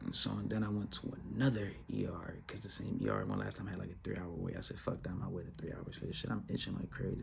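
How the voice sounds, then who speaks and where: A man's very deep, low voice at a very fast pace, with noticeable background noise and audible room echo. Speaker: YouTuber telling a story. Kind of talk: casual storytelling vlog. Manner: animated.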